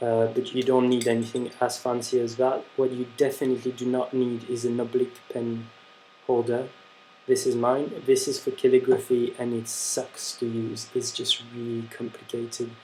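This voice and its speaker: A man with a French accent, monotone and flat in intonation, at a moderate pace with music in the background. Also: medium pitch for a man. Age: young. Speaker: handwriting instructor. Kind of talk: tutorial. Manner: casual, hesitant with fillers.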